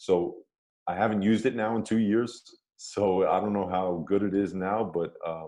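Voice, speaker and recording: With an American accent, a man speaks at a moderate pace in a fairly low pitch, his tone dark and mellow and his intonation fairly even. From New York. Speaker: former pro basketball player. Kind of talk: interview. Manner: halting.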